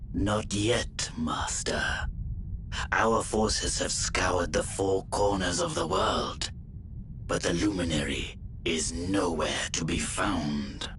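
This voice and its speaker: A man speaks in a put-on character voice, pitched very deep and low. He talks at a fairly slow pace over loud background noise. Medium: video game. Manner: deferential.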